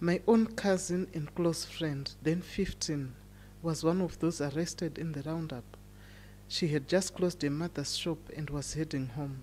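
The voice has a dark, mellow tone. It moves at a fairly slow pace with ordinary pitch variation. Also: woman, very deep, low pitch for a woman. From Zimbabwe. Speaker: AIDS activist. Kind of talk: personal narration.

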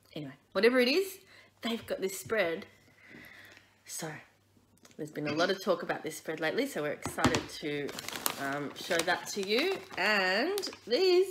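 Noticeable background noise sits behind a woman speaking at a moderate pace. She leaves long, frequent pauses. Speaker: food review host. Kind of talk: casual vlog chat. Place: home room. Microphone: phone near.

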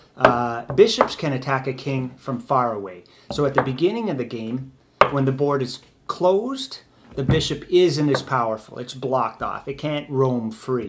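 A man at a moderate pace with ordinary pitch variation, against noticeable background noise. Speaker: chess teacher. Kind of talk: tutorial. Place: home room. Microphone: camera far.

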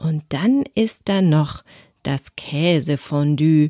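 A woman's fairly low voice, dark and mellow in tone, comes through with a dry, close sound and no echo. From southern Germany, Konstanz. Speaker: language teacher podcaster. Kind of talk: scripted narration. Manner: slow.

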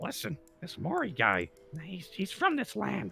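Over faint background music, a man talks at a moderate pace with a fairly high pitch. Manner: conspiratorial, hushed.

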